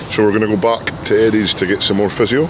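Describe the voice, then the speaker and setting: Background noise is noticeable throughout. The voice belongs to a man. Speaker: vlogger. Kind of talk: casual vlog chat. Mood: lighthearted after spicy challenge. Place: street. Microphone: phone near.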